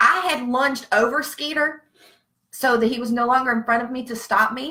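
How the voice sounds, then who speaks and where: Bright and sharp, a woman's high-pitched voice carries an animated tone and a Southern US accent. She speaks at a moderate pace. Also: ordinary pitch variation. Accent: Southern, noticeable. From Virginia. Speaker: veteran with PTSD. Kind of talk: casual live-stream chat. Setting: Facebook live stream.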